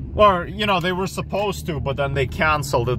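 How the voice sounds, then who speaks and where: Noticeable background noise behind a man's dry, echo-free voice. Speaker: driver vlogger. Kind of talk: casual vlog chat. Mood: relaxed, reflective. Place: car. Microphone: phone near.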